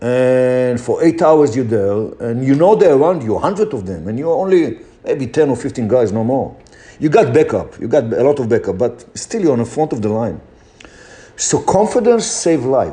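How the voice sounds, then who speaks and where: Very wide pitch swings, a dark, mellow tone and a moderate pace, with a non-native accent. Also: man, medium pitch for a man. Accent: foreign accent, noticeable. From Israel. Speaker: motivational speaker. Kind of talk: motivational talk.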